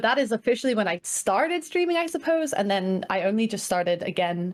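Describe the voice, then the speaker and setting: Very fast and full of lively intonation, a woman's speech rushes along. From Dubai (Scottish family). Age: 20s. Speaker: streamer and psychology student. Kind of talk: podcast interview.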